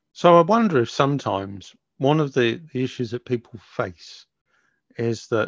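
A man with a normal speaking voice, medium pitch, lively intonation and fairly slow pace, against a quiet background. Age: 60s. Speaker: podcast co-host. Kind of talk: casual chat.

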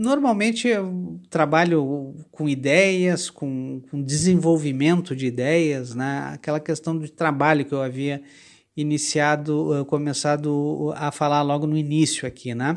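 On a very clean recording with a silent background, a man with a fairly high pitch speaks at a fairly slow pace with ordinary pitch variation. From Brazil, Porto Alegre, Rio Grande do Sul. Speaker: writer and journalist. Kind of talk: interview. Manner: halting, with repeated words and fillers.

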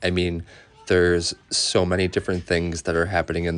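The man's voice sits at a very deep, low pitch. His intonation is monotone and flat against a quiet background. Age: 20s. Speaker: podcast host. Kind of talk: personal monologue. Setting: outdoors in backyard. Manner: casual, many fillers.

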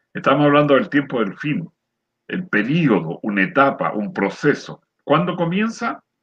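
Using very wide pitch swings and vocal fry, a man talks at a fairly slow pace with a fairly high pitch. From Chile, rural area near San Antonio. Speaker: retired lay preacher, program co-host. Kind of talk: religious discussion.

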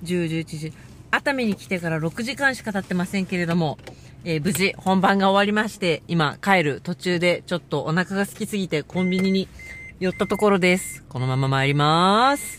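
Loud and lively in her intonation, a woman speaks at a moderate pace and medium pitch over noticeable background noise. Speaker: dancer and podcaster. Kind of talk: casual solo monologue podcast. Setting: in a car, driving. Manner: speaking loudly over road noise.

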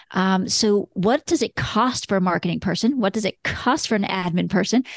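Her voice sits at a medium pitch, with vocal fry and lively intonation at a moderate pace. The woman's recording has a quiet background and a dry, close sound with no echo. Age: 50s. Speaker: lawyer turned law firm business coach and broker. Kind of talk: interview.

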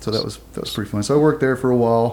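A man with a Texan accent. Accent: Texan (US Southern). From southeast Texas. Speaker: former navy SEAL and military dog handler. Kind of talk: interview, casual storytelling.

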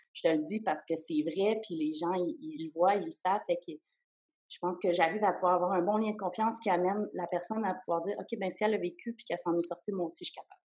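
At a very fast pace, a woman speaks at a medium pitch with ordinary pitch variation and big swings in loudness. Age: 30s. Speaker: psychotherapist. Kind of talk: interview testimony. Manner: halting.

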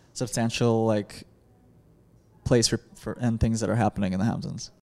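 With a Chicago accent, this man talks at a moderate pace in a medium pitch and a dark, mellow tone. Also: long, frequent pauses. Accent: Chicago-area American. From US Midwest, Chicago suburbs. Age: 20s. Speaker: conceptual artist. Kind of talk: interview.

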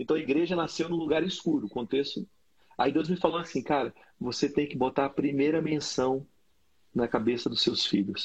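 A man with a fairly high pitch and a somewhat breathy voice speaks at a moderate pace with ordinary pitch variation. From Brazil, Brasília. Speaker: pastor and podcast host. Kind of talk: casual chat. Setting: video call.

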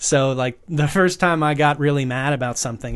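An unremarkable speaking voice moves at a moderate pace over a quiet background. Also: man. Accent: American. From US, rural Northern Virginia. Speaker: actor and producer. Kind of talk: casual chat.

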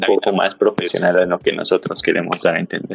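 A man with a Mexican accent talks at a fairly low pitch. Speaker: podcast co-host. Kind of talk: casual interview.

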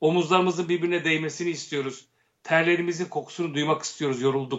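Here is a man with an unremarkable speaking voice. His pitch is fairly high and his intonation fairly even. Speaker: actor, director and satirical producer. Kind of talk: casual interview chat.

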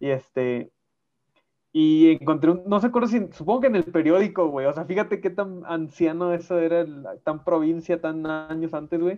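A man speaks at a moderate pace in an unremarkable speaking voice, pitched fairly high. His pitch varies in an ordinary way. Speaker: podcast co-host. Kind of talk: casual chat. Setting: video call.

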